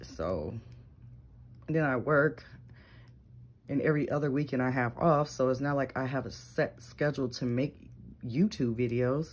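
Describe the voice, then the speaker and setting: Moderate pace with long, frequent pauses. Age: 30s. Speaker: reborn doll collector and vlogger. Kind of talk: casual vlog monologue. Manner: hesitant, many fillers.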